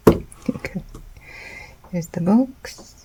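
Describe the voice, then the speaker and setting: The speaker is soft-spoken and talks at a very slow pace over noticeable background noise. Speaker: artist, sews. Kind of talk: casual unboxing and drawing talk.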